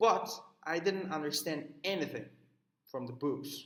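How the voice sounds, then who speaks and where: A man with a Turkish accent speaks at a moderate pace. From Turkey. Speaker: student. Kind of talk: recorded class assignment talk. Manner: halting, many fillers.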